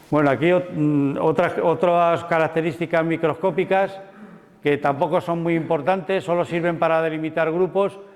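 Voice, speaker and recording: A man's fairly high voice at a moderate pace. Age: 60s. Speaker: mycologist lecturer. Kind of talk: lecture. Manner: halting, many repetitions and fillers.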